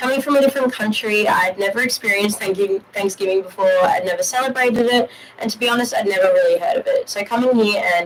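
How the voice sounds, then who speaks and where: A woman with an Australian accent talks at a very fast pace. Background noise is noticeable. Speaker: university student. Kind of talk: prepared personal testimony. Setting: studio live stream.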